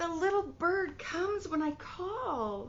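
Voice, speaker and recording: This put-on character voice moves at a fairly slow pace with very wide pitch swings. Clear background noise runs underneath. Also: woman. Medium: read story.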